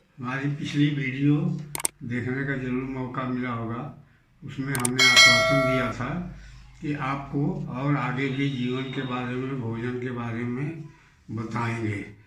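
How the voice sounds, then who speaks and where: Audible room echo and noticeable background noise surround this voice. A man speaks at medium pitch with fairly even intonation. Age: 70s. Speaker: doctor giving health advice. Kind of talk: health talk to camera.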